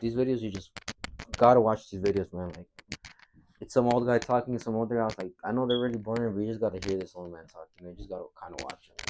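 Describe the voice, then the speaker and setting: At a very fast pace, a man speaks with a medium pitch, ordinary pitch variation and big swings in loudness. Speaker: trader. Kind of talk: casual talk to camera. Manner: casual, repetitive, stuttering.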